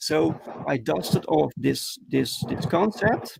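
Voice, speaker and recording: Vocal fry marks this man's fairly high voice, in a Dutch accent. The sound is dry and close, with no echo. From Netherlands. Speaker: comic book creator. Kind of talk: interview. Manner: halting, many fillers.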